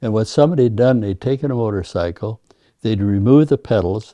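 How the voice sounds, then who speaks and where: The voice has a dark, mellow tone, heard over a quiet background. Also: man, dry, close sound with no echo. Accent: Upper Midwest. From US Upper Midwest, North Dakota (Devil's Lake, Fargo). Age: 80s+. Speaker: retired car show judge and collector. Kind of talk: interview storytelling. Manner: hesitant with repetitions.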